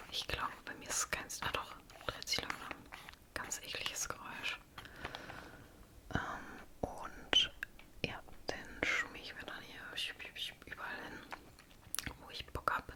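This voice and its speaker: A woman whispers at a fairly slow pace with big swings in loudness and long, frequent pauses, over noticeable background noise. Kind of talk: ASMR makeup show and tell, casual talk to camera. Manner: whispered, soft-spoken.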